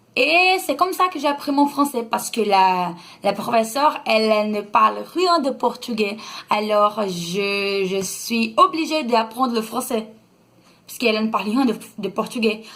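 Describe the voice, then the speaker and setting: Her pitch fairly high, a woman speaks at a fairly slow pace with lively intonation. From Brazil. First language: Brazilian Portuguese (speaking French). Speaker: vlogger. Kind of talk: casual vlog talk. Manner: halting, many hesitations.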